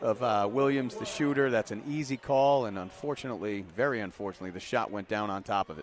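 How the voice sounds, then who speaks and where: Over noticeable background noise, a man speaks at medium pitch with lively intonation and a fairly quick pace. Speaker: color commentator for a basketball radio broadcast. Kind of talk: live basketball color commentary. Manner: conversational, animated.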